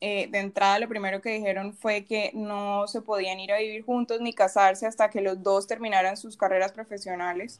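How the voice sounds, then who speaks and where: A woman speaks at a moderate pace with hardly any pauses, in a medium-pitched, monotone, flat voice on a very clean recording with a silent background. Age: 20s. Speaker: podcast co-host, industrial engineer. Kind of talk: casual chat.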